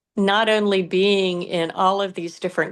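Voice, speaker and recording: A woman with a Southern US accent speaks at a fairly slow pace against a quiet background. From US South, south Georgia. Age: 60s. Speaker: pet brand founder. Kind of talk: interview.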